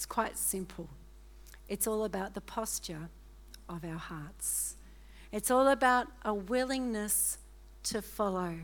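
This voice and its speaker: In a very clean recording with a silent background, a woman speaks fairly slowly with long, frequent pauses and big swings in loudness. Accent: Australian. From Australia. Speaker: guest preacher. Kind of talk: sermon. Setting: church. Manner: animated.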